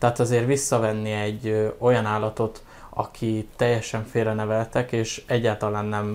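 At a moderate pace, a man speaks with medium pitch and a monotone, flat intonation. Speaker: animal rescue operations manager. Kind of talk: casual interview.

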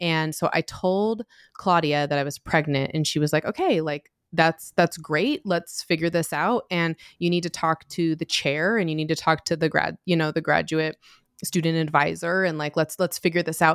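A woman with an American accent, a normal speaking voice, fairly low pitch, fairly even intonation and a moderate pace, on a very clean recording with a silent background. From US Mountain West (Utah area). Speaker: sociologist and author. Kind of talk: interview.

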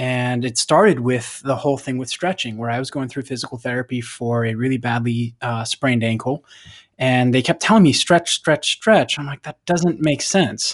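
With a normal speaking voice, a man speaks at a moderate pace and medium pitch with ordinary pitch variation, the sound dry and close with no echo against a quiet background. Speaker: strength and cycling coach. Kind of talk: interview. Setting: remote call. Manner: instructive.

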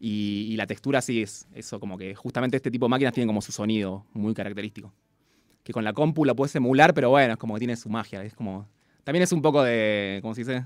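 A man with a Rioplatense accent talks at a very fast pace, with big swings in loudness. His pitch is medium, with ordinary variation. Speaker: beatmaker. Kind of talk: casual interview. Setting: radio studio.

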